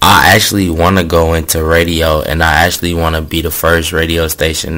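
Against noticeable background noise, a man with an American accent speaks at a fairly slow pace in a very deep, low pitch. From New York (Yonkers). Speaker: podcast host and music promoter. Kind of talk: casual chat. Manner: animated.

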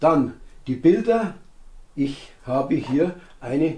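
This man's voice has a dark, mellow tone and ordinary pitch variation. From Bavaria, Moosburg; Bavaria, Germany. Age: 70s. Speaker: youth sports educator and author; youth sports educator. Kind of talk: interview monologue. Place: home room.

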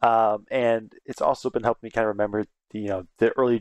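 A man talks at a very fast pace, with a dry sound, no echo and a quiet background. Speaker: reaction video host. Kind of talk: casual vlog chat. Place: home room. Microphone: headset.

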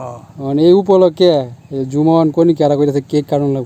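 His voice is fairly high for a man, with a dark, mellow tone and ordinary pitch variation. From Bangladesh, Netrokona (Mymensingh). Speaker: vlogger. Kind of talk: casual vlog narration.

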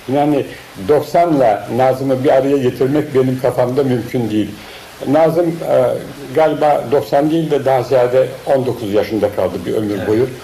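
Noticeable background noise accompanies a man speaking at a moderate pace and medium pitch, with ordinary pitch variation. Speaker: painter and cartoonist. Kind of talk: interview answer, personal reminiscence. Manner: hesitant, many filler sounds.

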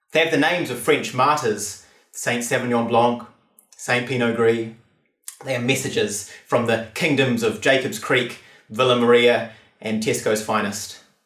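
A man at a moderate pace, fairly even in intonation, with audible room echo and a quiet background. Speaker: performance poet. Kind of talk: spoken word poetry performance. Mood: wry, measured, theatrical. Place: studio.

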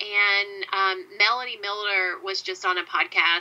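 A woman talks with a Southern US accent. Her pitch is medium. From US South. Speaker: podcast host. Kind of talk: interview conversation.

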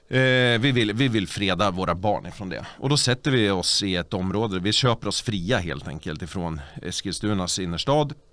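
Hardly pausing at all, a man with a fairly low pitch speaks at a moderate pace with lively intonation. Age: 40s. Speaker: party official and local politician; local politician. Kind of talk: casual chat. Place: studio. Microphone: studio mic.

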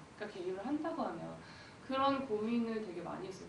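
Her pitch swinging very widely, a woman speaks in a room with audible echo and light background noise. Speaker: film director. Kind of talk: post-screening Q&A. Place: hall.

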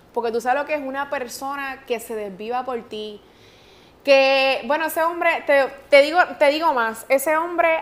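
A woman's high-pitched voice with ordinary pitch variation. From Puerto Rico. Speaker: radio host. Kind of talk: interview answer. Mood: emotional, recounting a painful loss. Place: studio.

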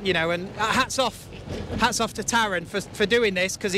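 Raised and projected, the voice has a bright, sharp tone and a fairly quick pace, captured as a dry sound with no echo over light background noise. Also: man. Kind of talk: interview answer. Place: farm machine. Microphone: handheld.

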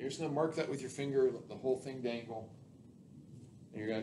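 Noticeable background noise runs under a man's voice. He talks very fast with ordinary pitch variation. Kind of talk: tutorial. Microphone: camera far.

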